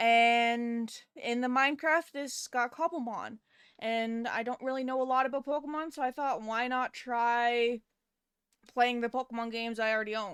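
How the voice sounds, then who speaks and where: A woman's high-pitched voice, fairly even in intonation, at a moderate pace, with a dry, close sound and no echo. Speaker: game streamer. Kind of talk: live gameplay stream chat. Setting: live stream. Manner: soft-spoken. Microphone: too quiet at first.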